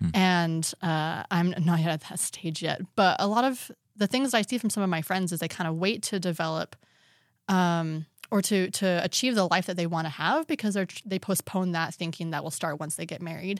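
A woman's normal speaking voice, fairly low in pitch with ordinary variation, at a moderate pace, in a dry, close sound with no echo. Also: very clean recording, silent background. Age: young. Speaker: podcast producer. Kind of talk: casual chat.

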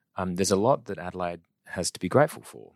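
Very deep and low in pitch, a man with an Australian accent talks at a moderate pace, the sound dry and close with no echo on a very clean recording with a silent background. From South Australia. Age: 30s. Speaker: property industry executive. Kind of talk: interview.

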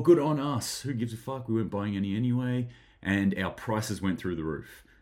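A man speaks with an Australian accent. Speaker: preparedness vlogger. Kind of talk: solo news commentary. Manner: casual, chatty.

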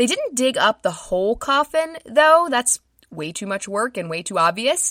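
A woman speaks at a fairly slow pace with a bright, sharp tone. Her pitch swings very widely, and the sound is dry and close with no echo. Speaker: podcast host. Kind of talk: true-crime narration. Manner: measured, solemn storytelling with dramatic, hushed gravity; clear, steady and scripted-sounding, with grim detail.

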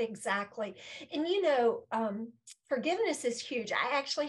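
Against a quiet background, a woman with an ordinary speaking voice talks with lively intonation. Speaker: podcast host. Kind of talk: interview, casual chat. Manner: warm, encouraging.

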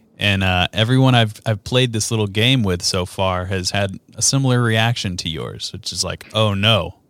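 On a very clean recording with a silent background, a plain, everyday voice talks at a moderate pace with hardly any pauses and ordinary pitch variation. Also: man, fairly low pitch for a man. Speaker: podcast host. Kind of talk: casual interview. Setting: video podcast.

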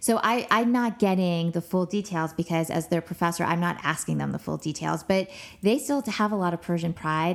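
A woman with a Californian accent and a fairly low pitch, in a very clean recording with a silent background. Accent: Californian American. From Los Angeles, US. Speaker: professor. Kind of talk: interview.

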